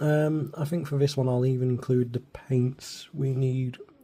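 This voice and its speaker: A man is whispering in a somewhat breathy voice. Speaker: miniature painting youtuber. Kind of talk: tutorial. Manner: casual, hesitant.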